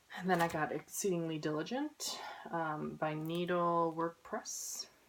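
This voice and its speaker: A plain, everyday voice from a woman, fairly low in pitch, with fairly even intonation. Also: fairly slow pace. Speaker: cross-stitch vlogger. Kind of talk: casual haul video chat.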